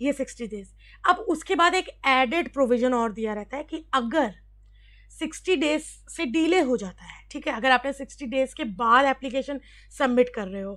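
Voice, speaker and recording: A woman speaks at a high pitch with lively intonation. Her loudness swings widely. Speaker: exam prep teacher on labour law. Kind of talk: tutorial. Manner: halting, with many fillers; Hindi-English code-switching.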